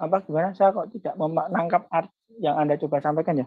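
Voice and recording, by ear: A man talks at a fairly quick pace. His pitch is fairly high, with little movement.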